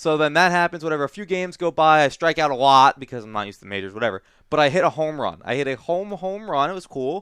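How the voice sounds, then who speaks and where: With lively intonation and a very fast pace, a man talks in a fairly high voice, the sound dry and close with no echo and the background quiet. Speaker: gaming podcast co-host. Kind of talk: casual chat. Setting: studio.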